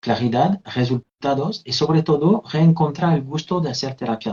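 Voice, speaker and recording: Lively intonation, somewhat breathy, with a French accent. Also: man. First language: French (speaking Spanish). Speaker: therapist and trainer. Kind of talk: interview, live video conversation.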